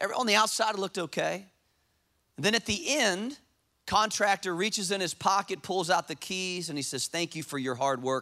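The voice is raised and projected, with a bright, sharp tone. It moves at a fairly quick pace and sounds animated. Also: man, high pitch for a man. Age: 40s. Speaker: pastor. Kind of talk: sermon. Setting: church.

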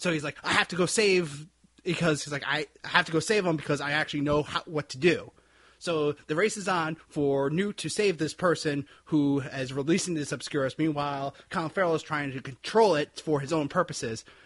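A man with an American accent talks at a fairly quick pace in a plain, everyday voice, fairly high in pitch. His pitch varies in an ordinary way against a quiet background. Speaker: podcast co-host. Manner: loud, projects voice.

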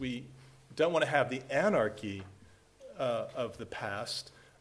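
The speaker is a man with a fairly high-pitched voice. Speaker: international security professor. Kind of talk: panel discussion. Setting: stage with audience. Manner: casual, jokey.

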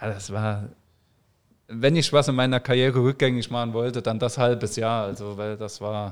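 A plain, everyday voice moves at a moderate pace with fairly even intonation in a very clean recording with a silent background. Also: man, medium pitch for a man. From Saarland, Germany. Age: 30s. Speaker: professional footballer. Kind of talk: casual interview.

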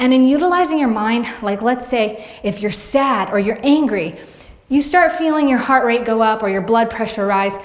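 A woman's fairly high-pitched voice with noticeable background noise. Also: lively intonation. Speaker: fitness vlogger and personal trainer. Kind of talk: casual vlog monologue to audience. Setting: video blog. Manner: fast talker; warm, chatty.

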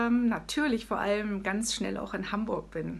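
A woman's somewhat breathy, medium-pitched voice moves at a fairly slow pace with ordinary pitch variation. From Hesse, Germany. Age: 40s. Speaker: artist and author. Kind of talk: interview. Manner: animated.

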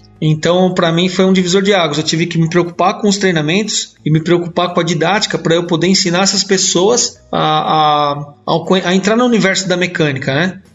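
Against noticeable background noise, a man with a high pitch speaks at a fairly quick pace with hardly any pauses, very even loudness and fairly even intonation. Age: 40s. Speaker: mechanics instructor. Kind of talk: casual chat.

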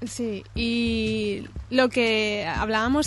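A woman amid noticeable background noise. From Catalonia, Spain (Cerdanyola). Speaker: illustrator. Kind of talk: interview.

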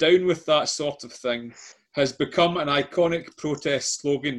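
Speaking at a fairly slow pace in a Scottish accent, a man's voice shows big swings in loudness. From Scotland. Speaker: quiz host. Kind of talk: quiz hosting.

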